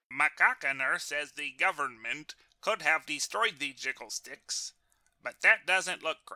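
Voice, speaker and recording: Speaking in a put-on character voice, a man talks at a fairly slow pace with a fairly high pitch. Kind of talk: NPR-style radio journalism. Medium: comedy sketch. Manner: deadpan, measured.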